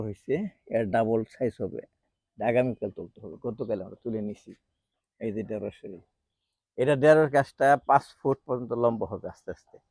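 Dark, mellow tone with ordinary pitch variation, in a dry, close sound with no echo. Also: man. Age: 60s. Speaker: home gardener, doctor. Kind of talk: garden tour vlog. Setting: outdoors on rooftop garden. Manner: casual, halting.

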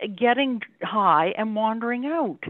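A woman at a fairly slow pace, dry with no echo, against a quiet background. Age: 70s. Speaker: resident giving a deputation. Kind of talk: council meeting deputation questions. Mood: skeptical, challenging. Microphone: video call.

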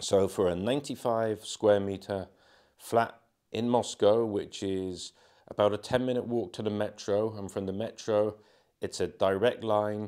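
Speaking with an English accent, a man talks at a fairly slow pace and a fairly low pitch, with fairly even intonation. The background is quiet. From England. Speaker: travel vlogger. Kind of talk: walking tour vlog. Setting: walking through building, partly outdoors. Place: home room.

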